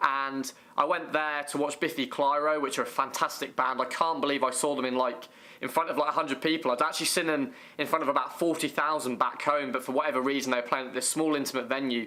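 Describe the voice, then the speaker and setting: Very fast delivery with an English accent, monotone and flat. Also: man, fairly high pitch for a man. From England. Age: 20s. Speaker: YouTuber. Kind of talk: casual interview.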